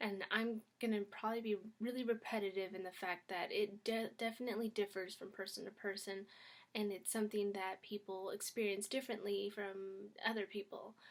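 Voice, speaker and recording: A woman talks quietly at a fairly quick pace. Her intonation stays monotone and flat. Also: medium pitch for a woman. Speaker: YouTuber. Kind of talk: casual vlog talk. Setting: at home.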